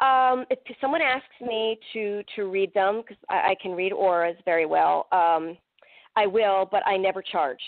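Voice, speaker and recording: An ordinary speaking voice from a woman with an American accent, at a medium pitch and fairly slow pace, with lively intonation. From Pennsylvania, US. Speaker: psychic medium and paranormal investigator. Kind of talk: interview.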